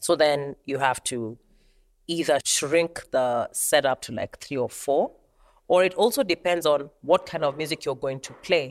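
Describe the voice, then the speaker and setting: A woman with a very deep, low voice and ordinary pitch variation shows big swings in loudness, on a very clean recording with a silent background and a dry, close sound with no echo. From Kenya. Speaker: drummer and percussionist. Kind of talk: casual interview chat.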